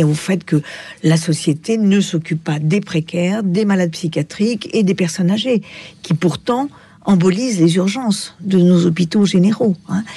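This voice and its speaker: A woman talks at a fairly slow pace with ordinary pitch variation, noticeable background noise behind her. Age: 70s. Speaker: psychiatrist. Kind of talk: radio interview.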